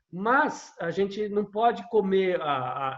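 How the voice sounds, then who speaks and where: A man's high-pitched voice. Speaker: conductor and music lecturer. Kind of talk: podcast conversation. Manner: fast.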